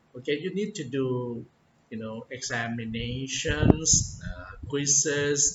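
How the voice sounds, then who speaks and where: A man with a non-native accent and medium pitch speaks at a very slow pace against noticeable background noise. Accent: non-native English, far from perfect. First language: Thai. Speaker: English teacher. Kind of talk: tutorial talk. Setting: indoors, office. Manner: hesitant, many fillers.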